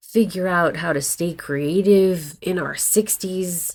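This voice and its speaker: Fairly low in pitch, a woman speaks slowly with fairly even intonation in a normal speaking voice. The recording is very clean, with a silent background. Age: 60s. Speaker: actor and acting coach vlogger. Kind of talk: casual vlog talk to camera. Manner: conversational, candid.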